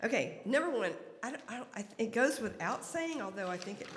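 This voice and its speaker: Room echo is audible as the speaker talks at a fairly quick pace over noticeable background noise. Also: woman. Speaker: church announcements speaker. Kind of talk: church announcements. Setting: church service with congregation. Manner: fast.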